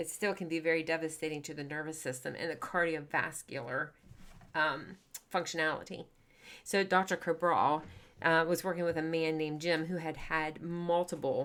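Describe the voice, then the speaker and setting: In a very clean recording with a silent background, a woman with an ordinary speaking voice talks at a moderate pace in a fairly low pitch, her intonation fairly even. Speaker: wellness podcast host. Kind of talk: podcast monologue.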